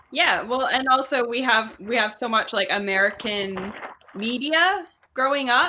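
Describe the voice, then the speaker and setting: A woman with a high-pitched voice talks at a fairly slow pace, her intonation lively. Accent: slight Canadian Maritime. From New Brunswick, Canada. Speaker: tabletop game player. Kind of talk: casual chat.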